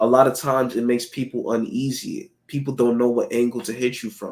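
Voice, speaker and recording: On a very clean recording with a silent background, a man speaks at medium pitch and a moderate pace in a monotone, flat intonation. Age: 20s. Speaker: vlogger. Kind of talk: personal vlog monologue. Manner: casual, filler-heavy.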